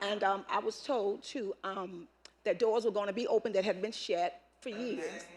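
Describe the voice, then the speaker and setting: A woman with a normal speaking voice, medium pitch, ordinary pitch variation and a moderate pace. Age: 60s. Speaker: public commenter, community volunteer. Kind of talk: public comment at board meeting. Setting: public meeting with microphone.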